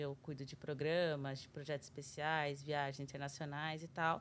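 A woman talks fairly quickly, recorded very cleanly against a silent background. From Brazil, São Paulo city. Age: 30s. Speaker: TV journalist. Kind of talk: casual interview.

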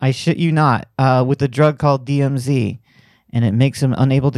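On a very clean recording with a silent background, a man at medium pitch speaks at a moderate pace with a dry, close sound and no echo. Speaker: podcast host. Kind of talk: casual chat. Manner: animated.

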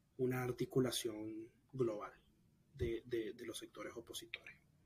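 At a very slow pace, a man talks in a somewhat breathy voice. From Nicaragua. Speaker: exiled student activist. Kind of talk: interview.

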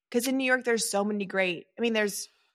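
The recording is very clean, with a silent background. It carries a plain, everyday voice with ordinary pitch variation. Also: woman. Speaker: podcast host. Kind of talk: casual chat.

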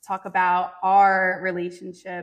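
The woman's voice sits at a medium pitch. She speaks fairly slowly in a monotone, flat intonation. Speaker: podcast host. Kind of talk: interview. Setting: instagram live stream. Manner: loud.

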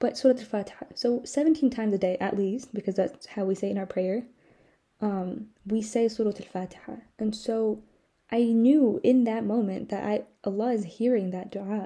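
A woman talks at a moderate pace in a fairly high, somewhat breathy voice with a dark, mellow tone and ordinary pitch variation. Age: young. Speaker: podcast host. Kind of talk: casual monologue. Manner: frequent laughter.

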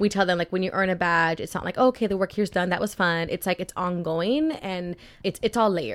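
A woman speaks at a very fast pace with an American accent. Her pitch sits in the medium range, with ordinary variation. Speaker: youth group co-founder. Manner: casual, conversational.

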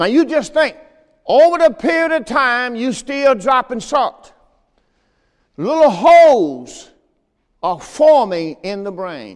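At a very slow pace, a man speaks in an extremely high pitch with very wide pitch swings. His loudness swings a lot, and long pauses come often. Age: 70s. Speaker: pastor. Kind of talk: sermon. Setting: church.

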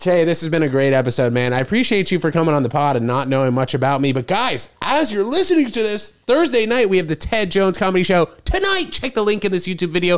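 Amid noticeable background noise, a man with an American accent talks at a very fast pace with hardly any pauses, his high voice making very wide pitch swings while his loudness stays very even. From New York. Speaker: podcast host and comedy show promoter. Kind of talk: casual chat. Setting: studio, sharing a mic on a couch.

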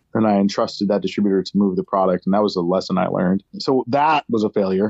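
At a fairly quick pace, a man with a plain, everyday voice speaks with an American accent and ordinary pitch variation. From upstate New York. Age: 40s. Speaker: brewery owner. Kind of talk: casual chat. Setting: remote call.

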